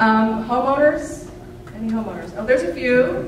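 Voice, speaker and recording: A woman with a high voice speaks at a moderate pace amid noticeable background noise and audible room echo. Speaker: water conservation coordinator. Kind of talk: presentation. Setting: stage with audience. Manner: animated.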